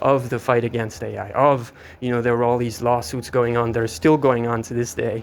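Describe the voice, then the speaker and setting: A shaky, medium-pitched male voice against noticeable background noise. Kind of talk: improvised commentary while walking. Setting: outdoors. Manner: somewhat shaky.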